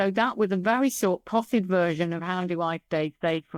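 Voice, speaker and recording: In an English accent, a woman speaks at a moderate pace and a fairly low pitch with lively intonation. The sound is dry and close with no echo, a very clean recording with a silent background. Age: 60s. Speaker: business psychologist. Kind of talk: interview. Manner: animated.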